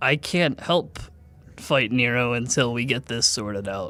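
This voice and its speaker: Over a silent background in a very clean recording, a man uses a put-on character voice at medium pitch and a moderate pace. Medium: actual play.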